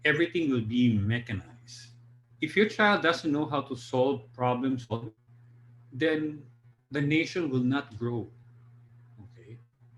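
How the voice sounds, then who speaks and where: At a fairly slow pace, a man with a medium pitch and a somewhat breathy voice pauses long and often, with ordinary pitch variation and big swings in loudness. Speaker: drama teacher giving a presentation. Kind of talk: online presentation.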